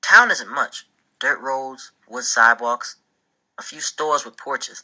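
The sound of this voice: The background stays quiet. A reading voice comes through, unforced.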